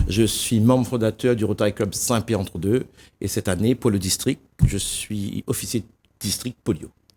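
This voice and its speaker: A man talks at a moderate pace with fairly even intonation. His pitch is fairly low and his tone is dark and mellow. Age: 60s. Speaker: association volunteer official. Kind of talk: TV interview. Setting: TV studio. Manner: hesitant, some stumbling.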